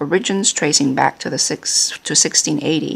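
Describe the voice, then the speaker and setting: Against noticeable background noise, a woman with a fairly low voice speaks with lively intonation. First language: not English. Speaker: playing card reviewer. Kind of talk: product review with reading aloud. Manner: halting, many fillers.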